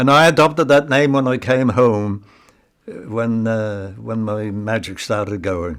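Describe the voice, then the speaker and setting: A man with an East Anglian accent, medium pitch, lively intonation and a fairly slow pace. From England, Ipswich (Suffolk). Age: 90s. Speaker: retired magician and war veteran. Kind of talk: personal reminiscence. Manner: halting.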